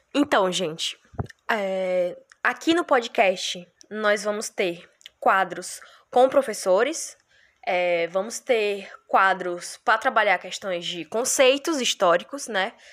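A woman speaks very slowly with lively intonation. The recording is very clean, with a silent background. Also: medium pitch for a woman. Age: 20s. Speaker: history student, podcast co-host. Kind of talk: podcast introduction. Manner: casual, hesitant.

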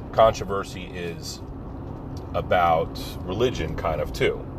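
A relaxed tone in an American accent, with noticeable background noise. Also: man. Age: 40s. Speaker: podcaster. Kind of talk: casual solo monologue. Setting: in a car. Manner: relaxed, conversational.

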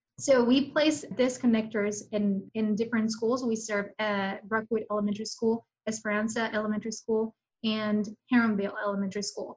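Fairly high in pitch and somewhat breathy, a woman speaks at a fairly quick pace with fairly even intonation. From Mexico. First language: Spanish. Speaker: program manager at a nonprofit. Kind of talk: interview.

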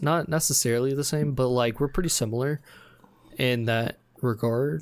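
A man talks at a fairly quick pace and medium pitch with ordinary pitch variation, in an unremarkable speaking voice. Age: 20s. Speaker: podcast host, college student. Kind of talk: casual chat.

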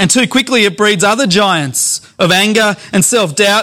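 Raising and projecting his voice, a man speaks at a moderate pace in a bright, sharp tone. The recording is very clean, with a silent background. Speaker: pastor. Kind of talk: sermon.

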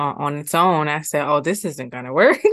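Over a quiet background, a woman talks at a moderate pace with a very deep, low pitch. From Ohio, US Midwest (Columbus). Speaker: nonprofit executive director. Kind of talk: casual interview chat. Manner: calm, inviting tone.

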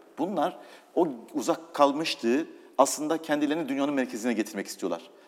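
Vocal fry marks this man's voice. He talks at a fairly quick pace with lively intonation. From eastern Turkey (Doğubayazıt). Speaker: business executive. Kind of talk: interview.

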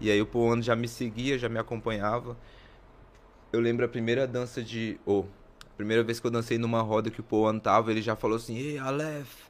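His pitch medium, a man speaks fairly quickly in a flat, monotone intonation. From Maranhão, Brazil, raised near Brasília. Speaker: breakdancer. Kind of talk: casual interview.

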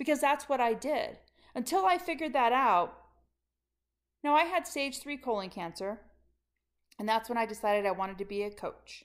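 With very wide pitch swings and an animated tone, the speech moves at a moderate pace with long, frequent pauses in a very clean recording with a silent background. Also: woman, high pitch for a woman. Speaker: leadership coach. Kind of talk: motivational monologue.

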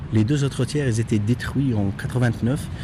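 A man's medium-pitched voice at a very slow pace, over noticeable background noise. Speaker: local guide. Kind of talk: guided tour.

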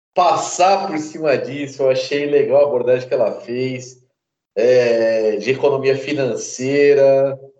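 The man's voice sits fairly high in pitch. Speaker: podcast host, martial arts teacher. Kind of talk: casual chat. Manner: more serious than usual.

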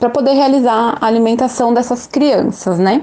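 A plain, everyday voice at a moderate pace with fairly even intonation. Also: woman. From São Paulo, Brazil. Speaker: English teacher and mother of a child with a rare condition. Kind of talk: interview testimony.

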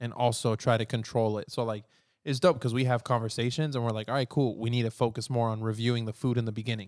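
Over a very clean recording with a silent background, a man talks at a very fast pace in an animated tone. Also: medium pitch for a man. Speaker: podcast host. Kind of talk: casual chat. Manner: animated, joking.

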